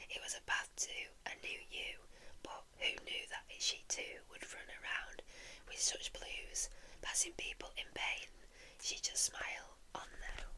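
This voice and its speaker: A soft-spoken woman is whispering at a fairly slow pace. Noticeable background noise can be heard. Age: 20s. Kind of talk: whispered poetry reading for sleep. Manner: whispered, soft, slow.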